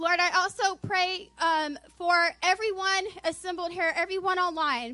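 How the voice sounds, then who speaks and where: A woman's extremely high, raised and projected voice at a fairly slow pace, with very even loudness and ordinary pitch variation. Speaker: church member. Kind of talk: spontaneous prayer. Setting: church.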